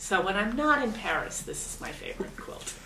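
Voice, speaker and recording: Audible room echo and noticeable background noise accompany a woman who talks at a moderate speed. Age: 50s. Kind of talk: documentary interview.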